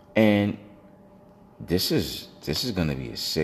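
An animated man in an American accent talks with lively intonation. Background noise is noticeable. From New York City (Brooklyn). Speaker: sports radio host. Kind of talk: solo sports talk show.

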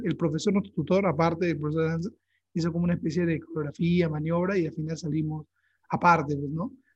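Speaking at a very fast pace, a man with a high pitch keeps his intonation fairly even. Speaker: podcast host. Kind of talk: casual chat.

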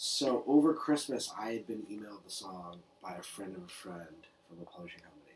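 A man with a plain, everyday voice speaks at a fairly quick pace in an American accent. His intonation is lively, with big swings in loudness. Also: fairly low pitch for a man. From New York City. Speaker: music supervisor. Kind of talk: casual chat. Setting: in person in Brooklyn.

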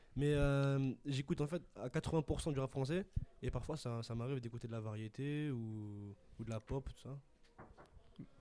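A man's dark, mellow voice at medium pitch, very slow, with ordinary pitch variation. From France, Paris suburbs (Sarcelles). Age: young. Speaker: prep-school student. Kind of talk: casual interview.

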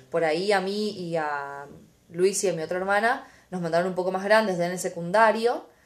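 Audible room echo surrounds a woman speaking at a moderate pace in a medium pitch with ordinary pitch variation. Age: 20s. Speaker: podcast host. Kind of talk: casual chat.

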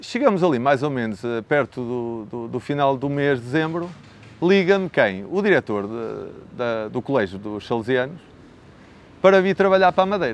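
With very wide pitch swings and long, frequent pauses, a man speaks at a moderate pace in a fairly high register. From northern Portugal (Braga district, Minho). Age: 40s. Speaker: teacher and real estate agent. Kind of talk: interview.

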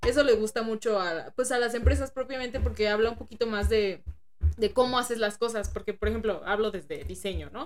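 Vocal fry runs through a woman's fairly high-pitched voice. She speaks at a fairly quick pace. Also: fairly even intonation. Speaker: podcast co-host, designer. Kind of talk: casual chat.

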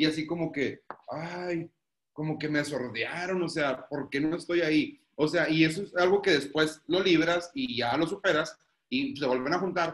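A man with an unremarkable speaking voice, fairly high in pitch, with ordinary pitch variation and a fairly slow pace. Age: 30s. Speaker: guest, married father. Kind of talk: casual chat.

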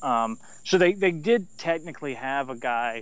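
A man with a fairly high pitch, lively intonation and a plain, everyday voice. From US South, Chattanooga, Tennessee. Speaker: wrestling history podcaster. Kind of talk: casual chat.

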